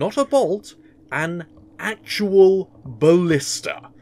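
A man's put-on character voice, high-pitched and slightly mellow in tone, with lively intonation and a very slow pace

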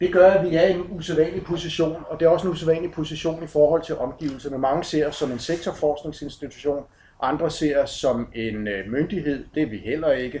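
A man speaks at a moderate pace in a dark, mellow tone, his pitch fairly high with ordinary variation. Light background noise and audible room echo are present. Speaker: project manager giving a talk. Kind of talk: conference presentation. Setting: conference with slides. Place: hall. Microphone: camera far.

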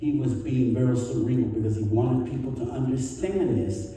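A man speaks with strong room echo around his voice. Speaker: pastor. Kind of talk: sermon. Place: church.

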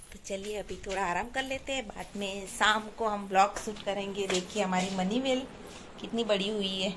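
A woman's fairly slow, fairly even-toned speech amid noticeable background noise. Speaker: family vlogger. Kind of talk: casual vlog chat. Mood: cheerful. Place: home room. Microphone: phone near.

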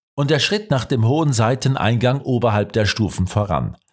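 Lively, medium-pitched male speech with vocal fry, recorded very cleanly against a silent background. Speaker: audiobook narrator. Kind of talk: audiobook narration, scripted reading of a crime story. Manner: measured, steady storytelling pace, shifting tone for dialogue and suspense; formal, literary delivery.

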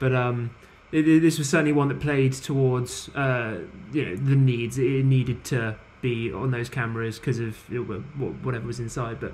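Moderate pace and fairly even intonation from a man, with light background noise. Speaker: podcast panelist. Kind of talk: casual roundtable discussion. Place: home room. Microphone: video call.

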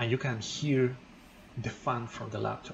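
Light background noise accompanies a man speaking at a fairly slow pace. His intonation is fairly even. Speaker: tech channel host. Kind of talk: tutorial. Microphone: phone near.

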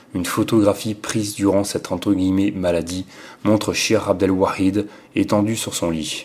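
A man with a normal speaking voice talks at a fairly slow pace, his fairly low pitch carried in fairly even intonation. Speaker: audiobook reader. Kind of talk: literary audiobook reading, measured and solemn. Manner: formal; slow, even, deliberate.

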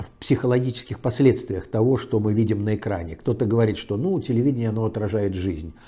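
Somewhat breathy, a man speaks in a dark, mellow tone with ordinary pitch variation. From Pskov region, Russia; Russia. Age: 70s. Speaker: public speaker, author, former officer; public speaker. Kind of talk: interview, storytelling. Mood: relaxed, at times smiling. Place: home room. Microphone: lapel.

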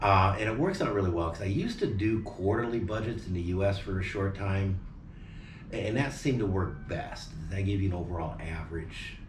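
With an American accent, a man speaks at a fairly quick pace and fairly low pitch, with ordinary pitch variation and noticeable background noise. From Phoenix, Arizona, US. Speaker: vlogger. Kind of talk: casual chat. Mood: relaxed, cheerful. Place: home room. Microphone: camera far.

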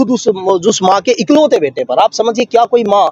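His voice is high-pitched for a man, with ordinary pitch variation, in a dry recording with no echo. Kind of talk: interview answer. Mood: aggrieved, earnest. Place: tent.

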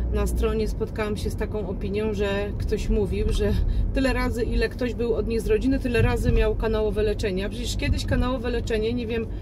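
A woman talks very fast with noticeable background noise around her. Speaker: vlogger. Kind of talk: casual vlog chat. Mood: mildly annoyed, chatty. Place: car. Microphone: phone near.

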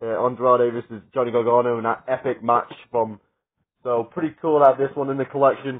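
Against a quiet background, a man speaks at a fairly quick pace with a medium pitch. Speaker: wrestling media collector vlogger. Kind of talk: casual vlog. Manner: fast; loud. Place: home room. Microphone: phone near.

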